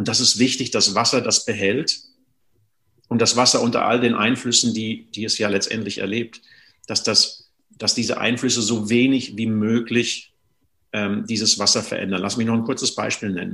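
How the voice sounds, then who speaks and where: A man speaks at a moderate pace in a medium pitch. His tone is bright and sharp, and his intonation is monotone and flat. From Germany, Sauerland. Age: 50s. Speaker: water and essential oils consultant. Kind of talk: interview.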